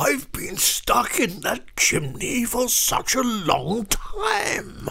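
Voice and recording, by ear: In a put-on character voice with vocal fry and a bright, sharp tone, the speaker moves at a very slow pace with very wide pitch swings.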